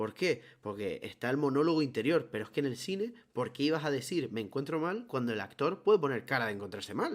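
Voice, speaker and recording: A man at a very fast pace, fairly high in pitch, with very wide pitch swings. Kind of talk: casual chat.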